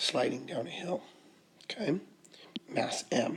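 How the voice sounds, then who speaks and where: A man whispers over noticeable background noise. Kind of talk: tutorial.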